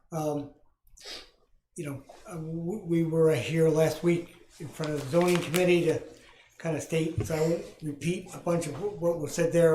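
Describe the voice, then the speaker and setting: A man's fairly high, monotone voice with flat intonation at a moderate pace, with audible room echo. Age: 60s. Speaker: business owner. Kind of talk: public comment at council meeting. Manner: halting, many fillers.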